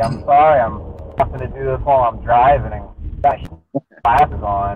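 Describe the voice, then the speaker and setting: A man at a fairly slow pace, in a dry sound with no echo and light background noise. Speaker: interview guest. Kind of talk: interview answer. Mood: relaxed, friendly. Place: car. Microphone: video call.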